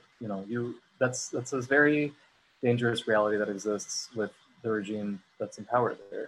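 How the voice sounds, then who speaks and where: In an American accent, a normal speaking voice moves at a moderate pace with fairly even intonation. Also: man, medium pitch for a man. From US, Syrian American family. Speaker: actor. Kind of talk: panel discussion.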